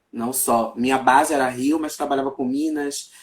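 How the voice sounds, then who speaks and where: A plain, everyday voice, a man's, fairly high-pitched, with ordinary pitch variation and a moderate pace. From Brazil, Salvador, Bahia. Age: 30s. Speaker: journalist, writer and Candomblé priest. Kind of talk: casual chat.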